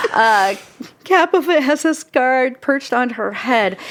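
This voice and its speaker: The speaker has a Pacific Northwest accent. The pitch swings very widely. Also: woman. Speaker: film podcast host. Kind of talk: reading aloud; casual chat.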